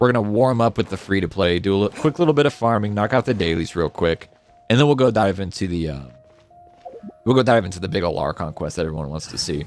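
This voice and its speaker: Using a put-on character voice, a man sounds raspy at a fairly low pitch. He talks very fast over faint background music. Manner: casual, chatty streamer.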